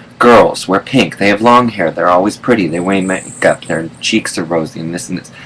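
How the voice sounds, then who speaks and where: A man talks in a very deep, low pitch with hardly any pauses. Noticeable background noise runs beneath his voice. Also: ordinary pitch variation, moderate pace. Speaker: vlogger. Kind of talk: casual vlog monologue. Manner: hesitant, many fillers.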